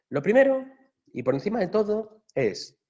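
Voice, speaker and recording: In a Galician accent, the speaker has a dark, mellow tone and very wide pitch swings. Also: man. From Galicia, Spain. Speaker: software architect, workshop speaker. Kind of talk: workshop talk. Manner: casual, conversational.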